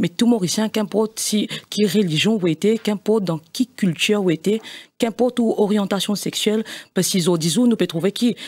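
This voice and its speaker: Here a woman talks at a fairly quick pace. Her loudness is very even, with ordinary pitch variation. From Mauritius. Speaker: party executive member; guest. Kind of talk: political debate interview. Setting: studio. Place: studio. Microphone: studio mic.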